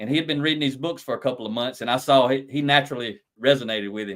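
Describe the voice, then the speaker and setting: A man talks at a very fast pace with a Southern US accent. His pitch is medium and his intonation fairly even. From US South. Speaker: lean leadership consultant and author. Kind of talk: podcast interview. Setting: live stream.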